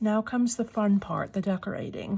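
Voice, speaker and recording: A woman speaks at a medium pitch with a dark, mellow tone that is somewhat breathy. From Massachusetts, Lowell near Boston. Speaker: crafter, junk journal tutorial maker. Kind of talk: tutorial. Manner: casual, thinking aloud.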